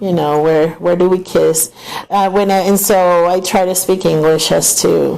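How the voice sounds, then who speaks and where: There is noticeable background noise as a woman speaks at a fairly slow pace. Her fairly low pitch comes with fairly even intonation and very even loudness. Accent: strong Venezuelan. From Venezuela. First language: Spanish. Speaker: travel vlogger. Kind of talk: casual chat.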